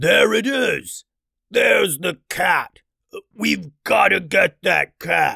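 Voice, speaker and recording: A man uses a raspy, put-on character voice and speaks very slowly. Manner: yelling.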